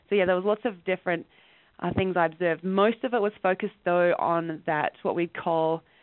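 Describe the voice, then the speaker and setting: A woman with an Australian accent speaks at a fairly low pitch and with fairly even intonation. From rural Western Australia. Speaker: education professor and researcher. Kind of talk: interview.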